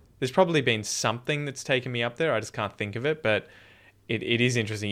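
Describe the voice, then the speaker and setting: A man with an Australian accent speaks in a bright, sharp tone with lively intonation. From Australia, Victoria (Dandenong Ranges near Melbourne). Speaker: podcast host and English teacher. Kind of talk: casual chat. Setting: video call.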